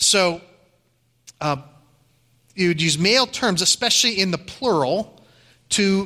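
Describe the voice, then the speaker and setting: Speaking with an American accent and a bright, sharp tone, a man with a high pitch keeps a moderate pace, ordinary pitch variation, and long, frequent pauses on a very clean recording with a silent background. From Ohio. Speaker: pastor. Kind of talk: sermon.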